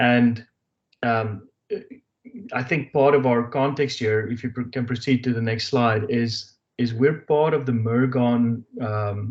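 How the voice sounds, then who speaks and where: Speaking at a fairly slow pace, a man with an American accent keeps a medium pitch and fairly even intonation. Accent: South African with slight Texas twang. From South Africa. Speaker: business presenter. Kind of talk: webinar presentation. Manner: halting, many fillers.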